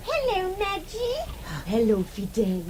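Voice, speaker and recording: With clear background noise behind her, a woman uses a put-on character voice at a fairly slow pace. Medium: old radio play. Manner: chatty, light.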